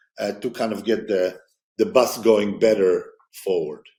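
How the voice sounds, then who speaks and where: This is a man speaking. His pace is fairly slow. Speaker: biotech founder. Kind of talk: interview.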